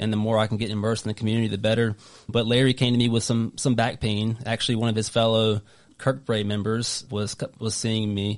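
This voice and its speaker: A man with a Southern US accent talks very fast at a medium pitch. His intonation stays monotone and flat over a quiet background. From North Carolina. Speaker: golf physical therapist. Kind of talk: casual interview chat. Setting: studio.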